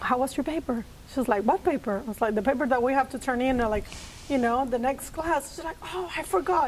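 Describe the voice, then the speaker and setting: A woman speaks in a Puerto Rican accent. Her high pitch shows ordinary variation. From Puerto Rico, rural area. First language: Spanish. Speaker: social worker. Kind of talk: interview.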